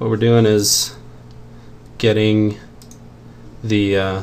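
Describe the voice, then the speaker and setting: Soft-spoken, a man talks at a fairly low pitch with ordinary pitch variation, with noticeable background noise behind him. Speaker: game developer streaming programming. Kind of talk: programming tutorial commentary. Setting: home at night, screen recording. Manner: halting, many fillers.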